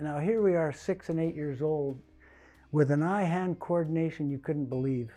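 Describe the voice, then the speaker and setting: A man with a Canadian accent, fairly high in pitch, with ordinary pitch variation, at a moderate pace, music in the background. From Vancouver Island, British Columbia, Canada. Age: 70s. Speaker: retired athlete. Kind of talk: interview testimony. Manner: halting with fillers.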